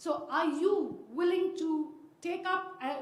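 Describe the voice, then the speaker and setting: A woman's voice carries audible room echo. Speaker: professor, audience questioner. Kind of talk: audience question at panel.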